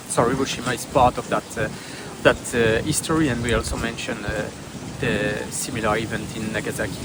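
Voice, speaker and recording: Over noticeable background noise and audible room echo, a man with a French accent talks fairly quickly at a medium pitch with ordinary pitch variation. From northeast France. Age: 30s. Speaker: tourist interviewee. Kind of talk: street interview. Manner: halting, many fillers.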